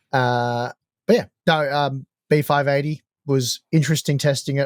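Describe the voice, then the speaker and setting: Speaking with an Australian accent, a man uses medium pitch and fairly even intonation. The sound is dry and close with no echo, on a very clean recording with a silent background. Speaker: tech podcast co-host. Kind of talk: casual chat.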